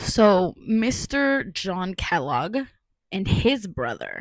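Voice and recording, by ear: A woman's medium-pitched voice with big pitch swings at a very slow pace, dry and close with no echo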